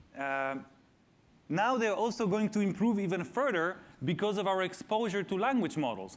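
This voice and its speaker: Amid audible room echo, a man with a non-native accent and a high pitch speaks at a moderate pace with lively intonation and very even loudness. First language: not English. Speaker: AI researcher and speaker. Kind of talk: public talk Q&A. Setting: stage with audience in school theater. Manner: hesitant with frequent fillers.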